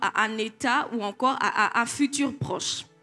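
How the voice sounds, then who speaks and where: This woman's voice is fairly high in pitch, bright and sharp. Her pitch varies in an ordinary way. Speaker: preacher. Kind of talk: sermon.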